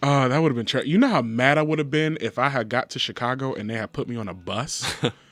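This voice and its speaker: There is noticeable background noise as a man with a medium pitch speaks very fast. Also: ordinary pitch variation. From Michigan, Detroit. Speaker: political campaign manager. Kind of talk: casual chat. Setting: radio studio. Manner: animated.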